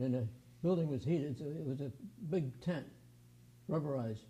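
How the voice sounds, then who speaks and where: A man's somewhat breathy, fairly high voice with a dark, mellow tone, an American accent and a fairly quick pace. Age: 80s+. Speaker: aircraft restoration volunteer. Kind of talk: interview.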